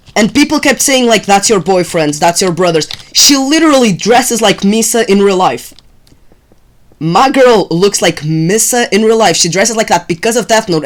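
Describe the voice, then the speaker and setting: A woman talks fairly quickly while noticeable noise carries on in the background. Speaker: gaming streamer. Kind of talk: casual live-stream chat. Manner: halting; animated.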